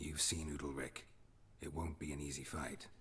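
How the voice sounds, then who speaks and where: Putting on a character voice, a man speaks in a raspy, very deep, low pitch with a calm tone at a moderate pace, with clear background noise. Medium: video game. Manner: calm, terse, matter-of-fact.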